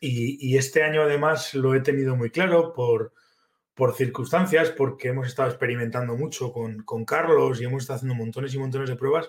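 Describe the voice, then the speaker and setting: At a fairly quick pace, a man speaks at medium pitch with fairly even intonation and a somewhat breathy sound. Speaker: fly fishing livestream host. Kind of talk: live stream chat with viewers. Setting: live video stream. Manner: halting, many fillers.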